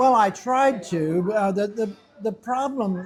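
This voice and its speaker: Speaking very slowly with an American accent and ordinary pitch variation, the voice is heard over background music. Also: man. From USA. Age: 70s. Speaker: retired stockbroker and English teacher. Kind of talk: interview. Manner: halting, many fillers and repetitions.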